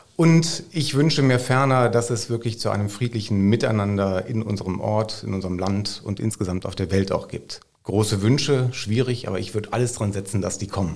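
Using an ordinary speaking voice, a man talks at a fairly quick pace with hardly any pauses, fairly low in pitch and with ordinary pitch variation. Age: 50s. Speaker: school principal. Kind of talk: casual chat.

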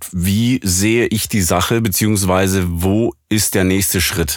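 With a slight Swabian accent, a man speaks very slowly in a very deep, low voice with fairly even intonation. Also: very even loudness. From Swabia, southwest Germany. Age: 30s. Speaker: professional voice actor and audio engineer. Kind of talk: casual interview.

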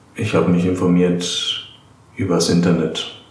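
Over noticeable background noise and audible room echo, a man talks at a fairly slow pace. His voice is very deep and low, with flat, monotone intonation. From Germany, Darmstadt (Hesse). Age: 20s. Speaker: apprentice, former archaeology student. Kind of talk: interview.

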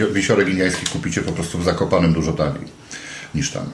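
Audible room echo and noticeable background noise surround a man with a very deep, low pitch. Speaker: podcast host. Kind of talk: casual chat.

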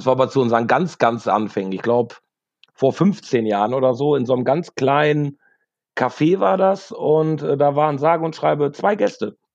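A man with a plain, everyday voice, fairly high in pitch, at a moderate pace. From Münsterland, north-west Germany. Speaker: rock musician, backing vocalist. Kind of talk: casual chat.

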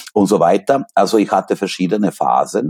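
A man with a strong non-native accent, heard in a dry, close sound without echo. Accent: strong foreign accent in German. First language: Serbian (speaking German). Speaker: literature professor. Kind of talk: interview.

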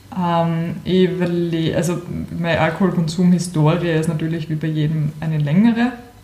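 The speech comes at a moderate pace with fairly even intonation. There is audible room echo and noticeable background noise. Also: woman, fairly low pitch for a woman. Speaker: podcast co-host. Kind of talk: casual chat.

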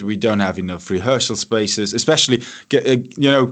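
With a German accent, a man speaks at a moderate pace against a quiet background. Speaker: radio host and musician. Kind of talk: radio show host interview.

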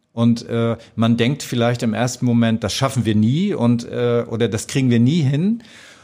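A man's medium-pitched voice with a northern German accent, a dark, mellow tone, a moderate pace, very even loudness and fairly even intonation. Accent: northern German, noticeable. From northern Germany, North Sea coast near Danish border. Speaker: customer service manager. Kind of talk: podcast interview. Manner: hesitant, many fillers and repetitions.

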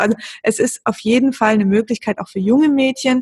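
A woman speaks at a fairly quick pace in a fairly high, somewhat breathy voice. Her pitch varies in an ordinary way. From Lake Constance region, southern Germany. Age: 30s. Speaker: blogger on women's health. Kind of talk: podcast interview.

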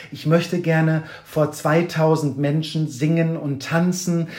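A man with fairly high pitch speaks at a very slow pace with fairly even intonation over noticeable background noise. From northern Germany, Kiel. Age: 40s. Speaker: toy collector and exhibition artist, former musical performer. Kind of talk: podcast interview. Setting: in person at guest's place in Hamburg.

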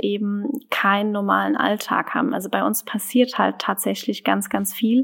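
This woman's voice is somewhat breathy and fairly high-pitched, moving at a moderate pace. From German wine region. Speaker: winemaker. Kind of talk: interview.

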